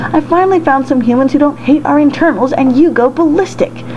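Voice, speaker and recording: A female-sounding put-on character voice rattles along at a very fast pace. Clear background noise can be heard. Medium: read story. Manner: casual, cheerful.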